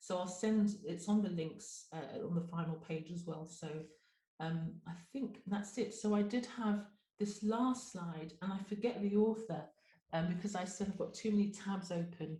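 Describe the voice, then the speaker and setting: A woman speaks at a moderate pace and medium pitch, her tone dark and mellow and somewhat breathy, with ordinary pitch variation. Audible echo fills the room. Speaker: GP and webinar presenter. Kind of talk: webinar presentation.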